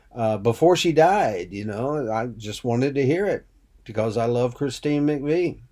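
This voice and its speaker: Dark, mellow male voice at a fairly slow pace, with ordinary pitch variation, on a very clean recording with a silent background. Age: 60s. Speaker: singer-songwriter and radio host. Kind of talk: casual monologue. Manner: halting.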